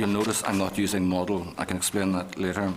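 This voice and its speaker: Against noticeable background noise, a man with a fairly low pitch talks at a fairly quick pace. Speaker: university researcher. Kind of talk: committee evidence statement. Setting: committee room hearing. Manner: formal.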